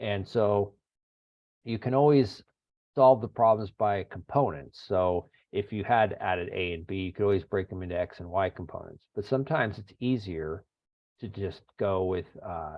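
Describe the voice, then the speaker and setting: A man's ordinary speaking voice, fairly low-pitched, with ordinary pitch variation and a moderate pace. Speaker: engineering lecturer. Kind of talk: lecture. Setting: video call.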